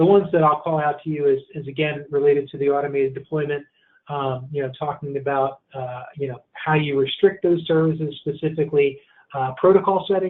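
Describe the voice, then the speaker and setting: Fairly high in pitch, a man speaks at a fairly quick pace with fairly even intonation. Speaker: information security expert. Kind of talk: webinar presentation. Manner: fast; halting, many fillers and repetitions.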